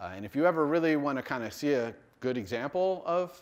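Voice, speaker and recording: A man with a fairly high pitch at a fairly quick pace. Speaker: university lecturer. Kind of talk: lecture. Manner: fast.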